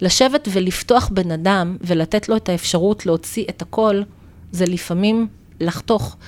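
The woman's pitch varies in an ordinary way as she talks fairly slowly. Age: 50s. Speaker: naturopath. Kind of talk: interview.

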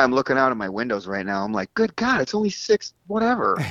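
At a moderate pace, a man uses an unremarkable speaking voice with ordinary pitch variation. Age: 50s. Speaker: bass player and bandleader. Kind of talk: casual interview.

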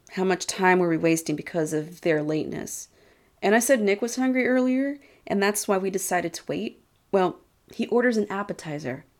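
Speaking with an American accent, a woman uses medium pitch and lively intonation at a fairly quick pace. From Texas (small town). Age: 30s. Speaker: podcaster. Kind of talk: personal storytelling monologue. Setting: house-sitting, away from usual recording spot.

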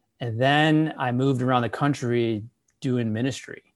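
A man speaks in a normal speaking voice with an American accent, medium in pitch with ordinary pitch variation. His pace is moderate and the background is quiet. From Chicago area, US Midwest. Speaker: pastor. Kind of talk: interview.

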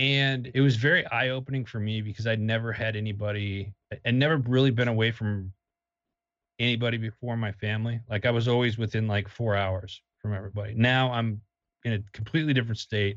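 Speaking with an American accent, a man has an ordinary speaking voice at medium pitch with ordinary pitch variation. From Wisconsin, US Midwest. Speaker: army veteran, media company founder. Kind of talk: interview.

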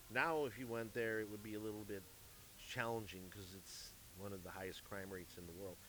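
Talking at a very fast pace in a Midwestern American accent, a man with a fairly low pitch and ordinary pitch variation is heard with audible room echo. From US Midwest, St. Louis, Missouri. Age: 50s. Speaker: music manager and entertainment executive. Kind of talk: casual chat. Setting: live at a jazz club. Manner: halting, repeats words.

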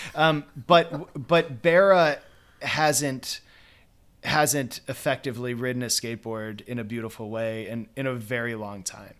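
A man speaks at a medium pitch and a fairly slow pace, with ordinary pitch variation and big swings in loudness. He has an ordinary speaking voice, and the recording is very clean with a silent background. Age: 40s. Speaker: author and professor. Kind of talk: casual chat.

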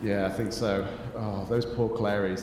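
A man's voice with noticeable background noise. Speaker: podcast host. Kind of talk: improvised comedy role-play. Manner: animated, playful.

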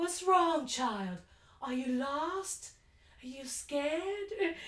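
Using a put-on character voice, a woman speaks at a high pitch and a very slow pace. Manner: creepy, feigning concern.

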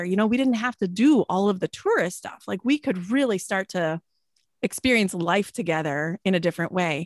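A woman's ordinary speaking voice at a medium pitch and fairly quick pace, with ordinary pitch variation, a dry, close sound with no echo, and a very clean recording with a silent background. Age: 40s. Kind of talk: interview conversation.

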